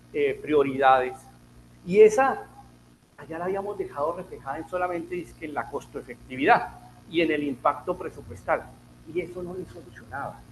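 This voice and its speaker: A high-pitched man's voice in a Bogotá accent at a moderate pace, with ordinary pitch variation, big swings in loudness and long, frequent pauses. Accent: Colombian Spanish, Bogotá. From Colombia, Bogotá. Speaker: health economics speaker, physician. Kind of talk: lecture.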